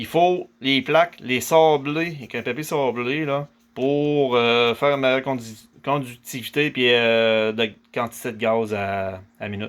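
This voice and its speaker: A man with a Quebec accent speaks at a very slow pace and a medium pitch. His pitch varies in an ordinary way, and the recording is very clean with a silent background. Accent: Québécois French. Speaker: DIY hobbyist. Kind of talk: tutorial. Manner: talkative, with many hesitations.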